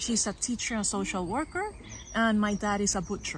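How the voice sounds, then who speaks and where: This woman has a fairly high pitch. Her voice is somewhat breathy. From Puerto Rico. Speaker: PhD candidate and former teacher. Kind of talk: podcast interview. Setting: outdoors in meadows. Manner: hesitant, many fillers.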